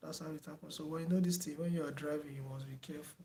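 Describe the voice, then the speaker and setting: Soft-spoken and somewhat breathy, a man talks in a fairly high, monotone, flat voice with audible room echo. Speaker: teacher. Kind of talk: online lecture wrap-up, thanking viewers. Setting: online video lecture. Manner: hesitant, many fillers. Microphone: no microphone, too quiet per viewer.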